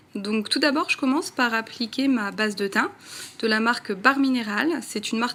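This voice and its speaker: Music plays in the background behind a woman's voice. She talks at a moderate pace and fairly high pitch with ordinary pitch variation. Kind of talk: casual talk to camera, makeup tutorial. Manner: chatty, friendly.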